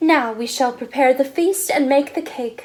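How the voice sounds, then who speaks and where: A woman uses a put-on character voice at a high pitch. She speaks at a moderate pace. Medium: read story. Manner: warm, grandmotherly.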